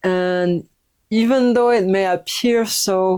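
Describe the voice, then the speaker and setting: A woman's dark, mellow tone with ordinary pitch variation, in a very clean recording with a silent background. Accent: French. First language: French. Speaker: yoga teacher and recovery coach. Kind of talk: personal testimony. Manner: halting, many fillers.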